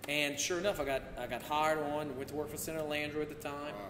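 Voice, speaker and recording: A man talks at a very fast pace with fairly even intonation. There is noticeable background noise. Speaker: podcast guest, former politician. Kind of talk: interview answer. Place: home room.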